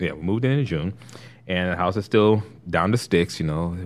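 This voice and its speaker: This man's voice is very deep and low in pitch. He keeps a moderate pace with ordinary pitch variation. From Los Angeles (Compton). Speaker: actor and voice talent. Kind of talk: casual chat. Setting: studio.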